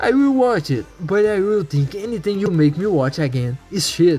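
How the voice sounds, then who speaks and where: With music in the background, a man with a non-native accent speaks with very wide pitch swings. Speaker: anime commentary YouTuber. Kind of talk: video essay narration.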